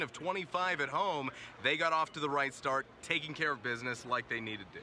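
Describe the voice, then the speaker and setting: Through noticeable background noise, a man speaks at a fairly high pitch and a fairly quick pace with ordinary pitch variation. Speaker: sports broadcaster. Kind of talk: sports broadcast, stand-up and studio commentary.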